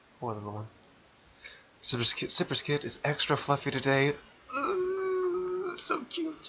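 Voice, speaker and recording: Long, frequent pauses break up a man's speech at a fairly slow pace. His loudness swings widely over noticeable background noise. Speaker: gaming YouTuber. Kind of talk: let's play commentary. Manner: slurred words; halting.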